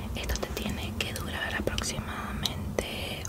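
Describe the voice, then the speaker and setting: Whispering at a very slow pace, a soft-spoken woman talks. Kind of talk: ASMR roleplay, soft personal address. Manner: soft close ASMR whisper. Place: home room. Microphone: phone near.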